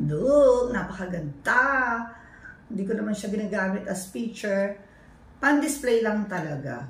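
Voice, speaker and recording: Over noticeable background noise and audible room echo, a woman with a medium pitch speaks at a fairly slow pace, her pitch swinging very widely. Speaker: family vlogger. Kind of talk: casual show-and-tell vlog. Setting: at home.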